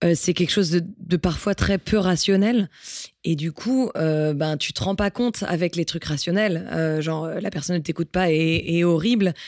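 A plain, everyday voice from a woman, fairly low-pitched, with ordinary pitch variation and a moderate pace, on a very clean recording with a silent background. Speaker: singer-songwriter. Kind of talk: casual chat.

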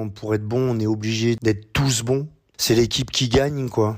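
A man talks at a moderate pace in a normal speaking voice with medium pitch. His intonation stays fairly even. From northern France, Boulogne-sur-Mer. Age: 50s. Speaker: rowing coach. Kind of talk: interview. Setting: remote interview.

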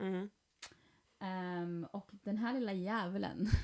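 At a medium pitch, a woman talks at a very slow pace with ordinary pitch variation. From Sweden. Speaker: podcast host. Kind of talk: casual chat. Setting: at home.

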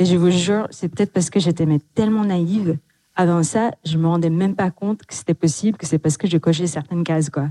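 A woman speaks fairly quickly in a fairly low voice with a dark, mellow tone and ordinary pitch variation. She has a non-native accent, and the sound is dry and close with no echo. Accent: noticeable foreign accent in French. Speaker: tech executive. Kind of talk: panel discussion.

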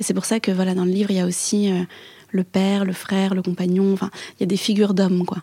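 Very fast speech in a dark, mellow tone, somewhat breathy, with monotone, flat intonation. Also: woman, medium pitch for a woman. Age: 20s. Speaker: author. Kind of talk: interview. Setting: restaurant.

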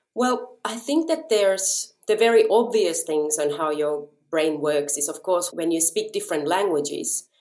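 A woman speaks with a Finnish accent at a moderate pace. Her medium pitch moves in very wide swings. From Japan (Finnish family), then Finland. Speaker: violinist. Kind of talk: interview conversation.

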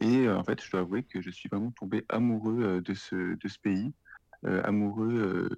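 Very slow speech from a man with a fairly low voice and fairly even intonation, dry and close with no echo, over a quiet background. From France, Lyon region. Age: 30s. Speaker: freelance content writer living abroad. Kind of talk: interview conversation. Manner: hesitant, many fillers.

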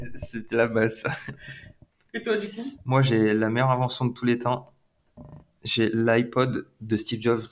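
Pausing long and often, a man speaks at a fairly slow pace in a medium pitch, his intonation monotone and flat. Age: 20s. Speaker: podcast host's younger brother, aspiring DJ. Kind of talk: casual chat.

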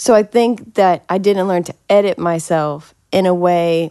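With an American accent, a woman speaks at a very slow pace in a dark, mellow tone. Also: quiet background. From Massachusetts. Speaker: songwriter and recording artist. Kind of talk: casual chat.

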